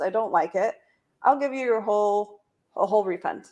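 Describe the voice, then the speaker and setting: Ordinary pitch variation in a woman's fairly high-pitched voice. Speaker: company founder and coach. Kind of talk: sales pitch. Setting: livestream video. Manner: fast.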